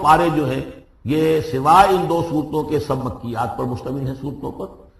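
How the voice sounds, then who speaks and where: A man speaks at a fairly high pitch. Noticeable background noise runs through the clip. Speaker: Islamic scholar giving a lecture. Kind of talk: religious lecture on Quran exegesis. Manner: fluent, didactic, explanatory.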